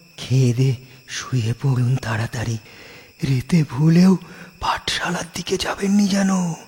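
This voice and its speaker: This cartoonish character voice has lively intonation. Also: man. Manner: chatty, rustic.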